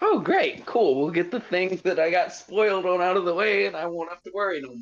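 With music in the background, a man talks fairly quickly in a high voice with ordinary pitch variation, hardly any pauses and big swings in loudness. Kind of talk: casual watch-along chat. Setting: remote, on phone, far from mic. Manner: animated, profane, quick reactions.

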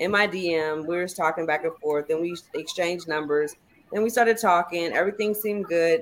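A woman with a plain, everyday voice talks at a fairly quick pace, fairly low in pitch with ordinary pitch variation. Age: 40s. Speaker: podcast guest. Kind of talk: casual chat.

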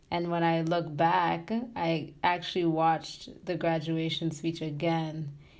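With audible room echo, a woman speaks fairly slowly in a fairly low, monotone, flat voice. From Tanzania. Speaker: graduate student in social work. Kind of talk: interview.

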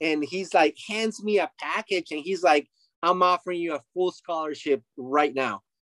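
With a Spanish accent, a man at a high pitch speaks in an animated tone with ordinary pitch variation at a moderate pace, in a dry, close sound with no echo. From Mexico. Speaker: retired baseball player. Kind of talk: interview.

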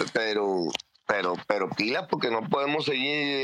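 A man's voice with very wide pitch swings. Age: 50s. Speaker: football fan. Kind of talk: heated fan commentary. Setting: online audio space. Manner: animated.

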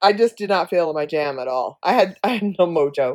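In a very clean recording with a silent background, a woman with a plain, everyday voice speaks at a fairly quick pace with lively intonation. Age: 60s. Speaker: podcast co-host, mother. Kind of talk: casual chat.

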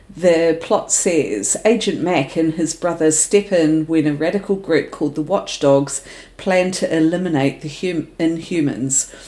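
A woman with a New Zealand accent speaks at a fairly slow pace with hardly any pauses. Her voice is fairly low, with ordinary pitch variation. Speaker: podcast co-host. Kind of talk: casual chat.

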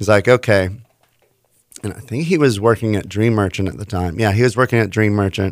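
Using an unremarkable speaking voice, a man with a fairly low pitch and an American accent talks at a fairly quick pace with ordinary pitch variation. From Houston, Texas. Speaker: DJ and licensed therapist. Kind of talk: casual interview.

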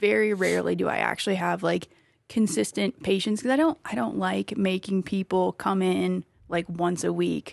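The sound is dry and close, with no echo. A woman with a slight Wisconsin accent talks at a moderate pace. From small-town Wisconsin. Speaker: athlete and injury practitioner. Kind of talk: casual chat. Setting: studio.

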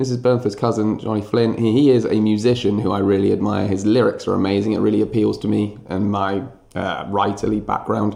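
Here a man speaks at a moderate pace with a fairly low pitch and a dark, mellow tone. Vocal fry runs through his fairly even intonation. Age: 30s. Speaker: history teacher. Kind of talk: casual interview.

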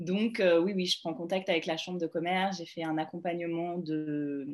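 At a fairly slow pace, a woman with fairly low pitch speaks in a monotone, flat intonation. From France, Grenoble. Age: 30s. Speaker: travel agency founder. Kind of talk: interview. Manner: hesitant, many fillers and repetitions.

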